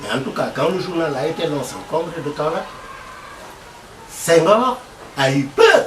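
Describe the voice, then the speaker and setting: A man talks at a high pitch with very wide pitch swings. Noticeable background noise and audible room echo surround him. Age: 70s. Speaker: veteran journalist. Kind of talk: interview. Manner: halting.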